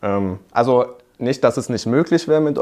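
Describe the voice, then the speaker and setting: A man at medium pitch with an ordinary speaking voice, ordinary pitch variation and a fairly quick pace. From Hockenheim, Baden-Württemberg, Germany. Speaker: business student. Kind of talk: casual interview.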